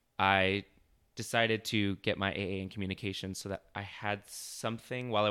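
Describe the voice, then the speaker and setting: In an American accent, a bright, sharp tone carries a monotone, flat intonation on a very clean recording with a silent background. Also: man. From Arizona, Chandler area. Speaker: web designer and entrepreneur. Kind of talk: interview.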